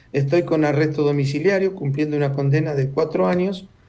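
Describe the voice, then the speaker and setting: Speaking at a very fast pace with audible room echo, a man has a fairly high pitch, a dark, mellow tone and fairly even intonation. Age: 70s. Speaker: former intelligence agent and author. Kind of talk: interview.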